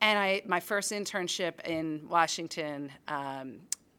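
In an American accent, a woman speaks with a bright, sharp tone and a fairly low pitch. Her pitch variation is ordinary, and the recording is very clean with a silent background. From US Northeast, Philadelphia. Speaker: nonprofit executive, former development official. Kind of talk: career talk to an audience.

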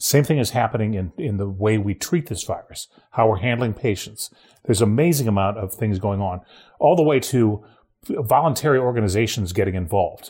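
Speaking with an American accent, a man uses a medium pitch, lively intonation, and a fairly quick pace. His voice is somewhat breathy, and the recording is very clean with a silent background. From Ohio, rural. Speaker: trade policy analyst. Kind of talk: casual chat. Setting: recording from home.

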